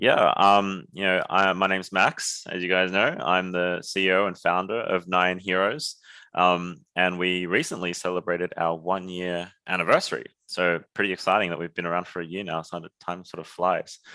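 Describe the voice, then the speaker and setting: A man with an Australian accent speaks at a moderate pace in a very deep, low pitch. His tone is bright and sharp, and his intonation is monotone and flat. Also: very clean recording, silent background. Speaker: startup founder, former surgeon. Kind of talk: podcast interview.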